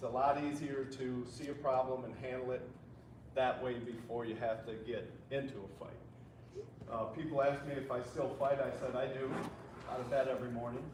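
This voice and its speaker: The speech comes at a moderate pace in a monotone, flat intonation, broken by long, frequent pauses. Noticeable background noise and audible room echo fill the recording. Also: man, medium pitch for a man. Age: 60s. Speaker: police trainer. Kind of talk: safety seminar talk. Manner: conversational storytelling.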